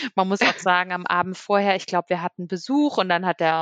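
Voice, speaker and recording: A woman with an unremarkable speaking voice talks at a fairly quick pace and medium pitch, in a dry, close sound with no echo. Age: 30s. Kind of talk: casual chat.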